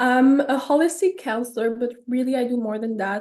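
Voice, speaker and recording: A high-pitched woman's voice in a French Canadian accent, dark and mellow in tone, with fairly even intonation. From Quebec, Canada (suburb of Montreal). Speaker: holistic counselor. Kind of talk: podcast interview.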